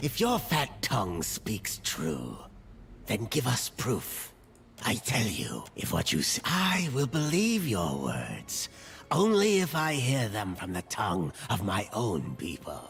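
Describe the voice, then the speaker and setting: Doing a put-on character voice at a medium pitch, a man speaks fairly slowly while clear music plays in the background. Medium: video game. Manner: solemn, formal.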